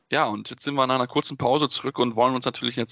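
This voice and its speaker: A man speaks with a bright, sharp tone at medium pitch. The sound is dry and close with no echo, against a quiet background. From North Rhine-Westphalia, Germany. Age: 20s. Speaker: podcast host. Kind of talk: casual sports talk.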